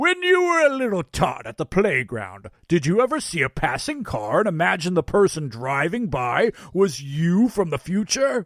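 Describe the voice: A man does a put-on character voice, pitched high for a man with a fairly bright tone, swinging very widely in pitch and leaving few pauses. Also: moderate pace.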